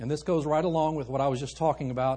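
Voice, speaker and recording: A man speaks at a fairly high pitch in a somewhat breathy voice. The background is quiet. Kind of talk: sermon. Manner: animated, warm and joking, with audience call-and-response and urgent pleas.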